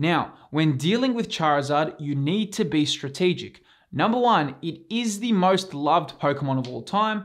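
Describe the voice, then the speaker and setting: With lively intonation, a man whose pitch runs high keeps to a moderate pace. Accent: Australian. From Australia. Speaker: YouTube collectibles investing host. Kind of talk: scripted YouTube presentation.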